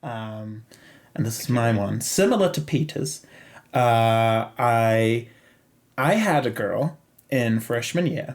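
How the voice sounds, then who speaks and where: Speech comes very slowly, broken by long, frequent pauses. The pitch varies in an ordinary way. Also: man, medium pitch for a man. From Zimbabwe. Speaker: podcast host. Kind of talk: casual chat.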